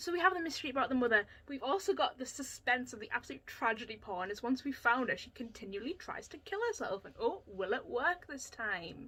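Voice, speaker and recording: A woman's raised, projected, high-pitched voice at a very fast pace, with very wide pitch swings, big swings in loudness and hardly any pauses. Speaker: book reviewer, video blogger. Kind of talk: opinionated book review monologue. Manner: animated, sarcastic.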